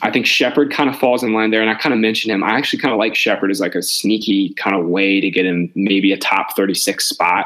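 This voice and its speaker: Using an ordinary speaking voice with ordinary pitch variation, a man keeps up a fairly quick pace. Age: 20s. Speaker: fantasy football podcast host. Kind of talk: casual chat.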